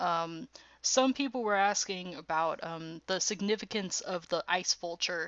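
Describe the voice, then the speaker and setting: This woman's voice sits at a medium pitch with ordinary variation. She talks at a fairly slow pace. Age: 20s. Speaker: streamer reacting to a TV show. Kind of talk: live stream reaction, casual chat. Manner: hesitant, many fillers.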